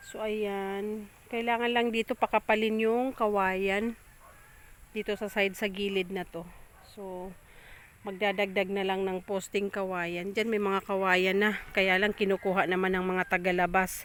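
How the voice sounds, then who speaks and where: A woman's fairly slow speech in a monotone, flat intonation. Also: medium pitch for a woman. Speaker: farmer vlogger. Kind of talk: casual vlog walkthrough. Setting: outdoors on a farm. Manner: loud.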